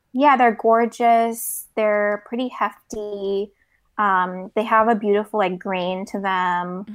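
A woman talks at a very slow pace, her medium pitch held in fairly even intonation. The recording is very clean, with a silent background. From South Korea. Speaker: newsletter founder. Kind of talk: casual chat.

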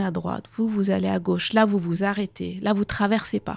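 This woman's voice is medium in pitch, dark and mellow in tone, and somewhat breathy, moving at a moderate pace in a very clean recording with a silent background. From Afghanistan (Kabul). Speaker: neurobiologist. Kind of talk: interview. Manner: hesitant, many fillers and repetitions.

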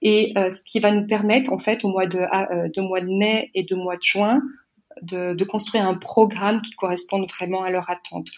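An unremarkable speaking voice at a moderate pace, with fairly even intonation. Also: woman, medium pitch for a woman. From France. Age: 40s. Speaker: association president and career coach. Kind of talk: podcast interview.

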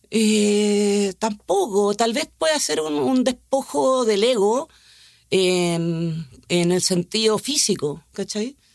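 Her medium-pitched voice carries a Chilean accent and lively intonation, and this woman is heard in a very clean recording with a silent background. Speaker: actress. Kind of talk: casual conversation.

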